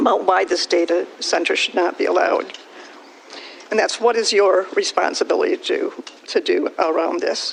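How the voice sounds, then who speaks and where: Here a woman talks at a moderate pace. There's noticeable noise in the background. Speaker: township resident, public commenter. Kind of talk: public comment. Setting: public meeting. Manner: quiet. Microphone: too far from mic.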